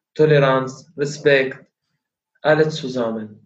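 Somewhat breathy, a man speaks very slowly with an Arabic accent. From Syria. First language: Arabic (speaking German). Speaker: kickboxing coach. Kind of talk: interview. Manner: halting.

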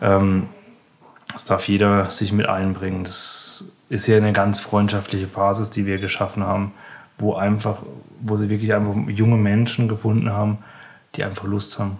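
Over noticeable background noise, a man with a fairly low pitch talks at a moderate pace in a flat, monotone way, with long, frequent pauses. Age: 20s. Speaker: chef. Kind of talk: interview. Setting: in the restaurant. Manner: halting.

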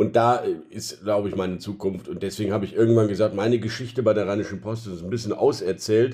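A man talks at a very fast pace with a fairly low pitch. His tone is dark and mellow, his intonation fairly even. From Rhineland, Germany. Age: 40s. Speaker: newspaper editor-in-chief. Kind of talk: interview. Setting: home office.

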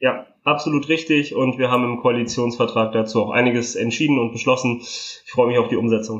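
Using a normal speaking voice, a man with a medium pitch talks at a fairly quick pace with hardly any pauses and fairly even intonation. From northern Italy, raised in Germany from age 3. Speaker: member of parliament. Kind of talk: interview.

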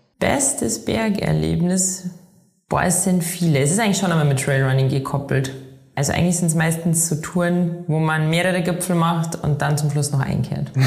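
At a moderate pace, a woman with a fairly low pitch speaks at very even loudness with ordinary pitch variation, and audible room echo surrounds her. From Bavaria, Chiemgau (Inzell). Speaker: professional trail runner. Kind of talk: interview.

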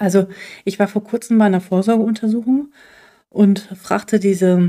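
A woman's fairly even intonation pairs with a medium pitch and a dark, mellow tone. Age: 40s. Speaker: podcast host, physician. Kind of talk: solo podcast monologue. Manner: hesitant with fillers.

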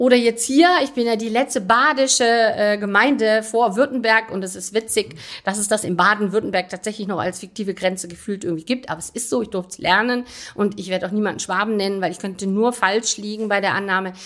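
A woman speaks very fast at a fairly high pitch with ordinary pitch variation. The recording is very clean, with a silent background. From Rhineland, Aachen. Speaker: mayor. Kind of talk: interview. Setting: town hall office.

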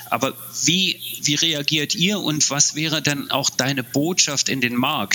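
A man's fairly high voice at a fairly slow pace, with ordinary pitch variation and music in the background. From East Germany. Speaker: podcast host. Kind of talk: interview. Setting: virtual studio.

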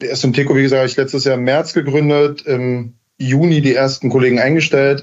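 The man talks at a fairly quick pace. His intonation is monotone and flat. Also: fairly high pitch for a man. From Berlin, Germany. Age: 30s. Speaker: heating company founder and master installer. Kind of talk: podcast interview. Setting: remote call.

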